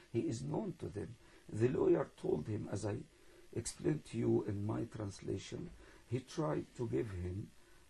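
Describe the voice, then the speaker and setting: With a dark, mellow tone and vocal fry, a man speaks at a medium pitch and moderate pace. His pitch swings very widely. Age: 60s. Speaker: imam. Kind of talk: interview. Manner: halting.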